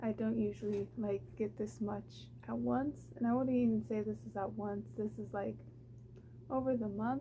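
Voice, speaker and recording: A woman speaks quietly at a moderate pace. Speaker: booktuber. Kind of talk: casual unboxing haul video. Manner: quiet, low voice; chatty, with fillers.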